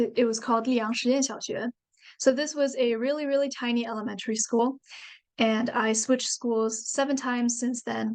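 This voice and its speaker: At a moderate pace, a woman with a Chinese accent speaks in a high pitch with monotone, flat intonation. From China. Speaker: university student and author. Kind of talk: presentation.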